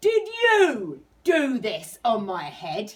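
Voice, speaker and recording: A woman puts on a character voice with a fairly high pitch. She growls through it. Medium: read story.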